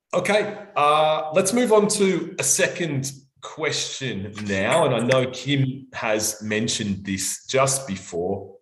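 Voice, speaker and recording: A man in an Australian accent at medium pitch, somewhat breathy, with very wide pitch swings, at a very slow pace amid audible room echo. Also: hardly any pauses. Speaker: language examiner and teacher. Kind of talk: live online workshop. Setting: live stream.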